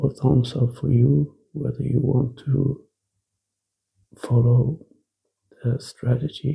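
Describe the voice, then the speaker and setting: With a Norwegian accent, a man speaks very slowly at a medium pitch, using monotone, flat intonation, a dark, mellow tone, vocal fry, and long, frequent pauses. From Norway. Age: 40s. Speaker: ex-smoker sharing quit-smoking advice. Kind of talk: casual monologue to camera.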